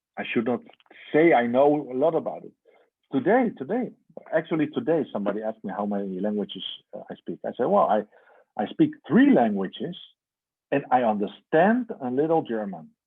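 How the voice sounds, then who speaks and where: With a Dutch accent, a man talks in very wide pitch swings and big swings in loudness, leaving long, frequent pauses. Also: fairly high pitch for a man, fairly quick pace. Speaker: religious teacher. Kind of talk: lecture.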